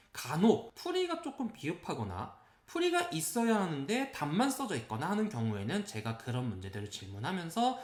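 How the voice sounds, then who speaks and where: Very wide pitch swings at a moderate pace. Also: man. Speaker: math academy director. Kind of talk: informational presentation. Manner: unsteady diction and intonation.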